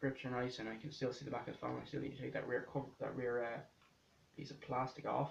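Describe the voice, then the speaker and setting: A man's medium-pitched voice at a very fast pace, with vocal fry. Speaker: tech reviewer. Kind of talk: unboxing review. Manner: casual, hesitant.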